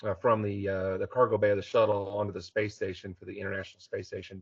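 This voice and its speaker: A man speaks with an American accent, his voice fairly low. It sounds somewhat breathy. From Texas, Houston area. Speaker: aerospace engineer. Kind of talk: technical talk. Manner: many filler words, uh.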